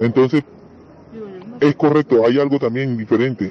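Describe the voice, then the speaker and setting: A man with a medium-pitched voice and ordinary pitch variation talks as noticeable background noise carries on. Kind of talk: casual explanation.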